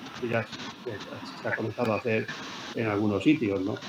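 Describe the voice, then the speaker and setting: Fairly even intonation from a man at a moderate pace, with noticeable background noise. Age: 70s. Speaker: scientist. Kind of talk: interview. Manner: halting, with frequent repetitions.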